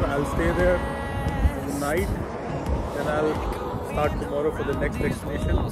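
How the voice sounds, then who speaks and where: With music in the background, a man talks at a moderate pace in a dry sound with no echo. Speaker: road trip vlogger. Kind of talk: casual vlog chat. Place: street. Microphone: phone near.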